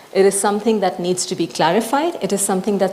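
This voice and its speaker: Noticeable background noise runs under the recording. A woman at a medium pitch speaks at a fairly quick pace. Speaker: panelist presenting on humanitarian law. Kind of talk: panel presentation. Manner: fast.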